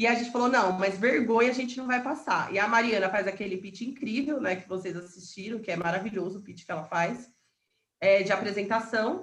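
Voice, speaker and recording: A woman speaks at a fairly quick pace with a fairly high pitch. Her voice is somewhat breathy, with ordinary pitch variation. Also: big swings in loudness. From Paraná interior, Brazil. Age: 30s. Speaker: entrepreneur and real estate broker. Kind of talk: interview.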